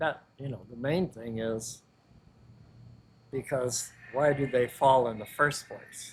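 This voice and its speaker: A man with an American accent speaks very slowly at a medium pitch, somewhat breathy, with fairly even intonation, big swings in loudness and long, frequent pauses. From US Midwest (Joliet, Illinois). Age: 70s. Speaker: personal trainer. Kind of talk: casual interview chat.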